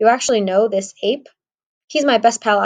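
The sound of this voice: The clip features an unforced reading voice with ordinary pitch variation against a quiet background.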